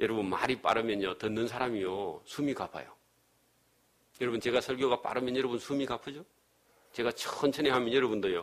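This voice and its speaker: A man of medium pitch speaks at a fairly quick pace with ordinary pitch variation. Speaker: pastor. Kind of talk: sermon. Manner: fast.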